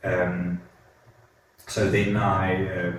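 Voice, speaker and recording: There is audible room echo and noticeable background noise. A man is speaking. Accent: South African. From South Africa, Mpumalanga. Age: 40s. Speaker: neurosurgeon. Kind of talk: interview. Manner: halting, many fillers and repetitions.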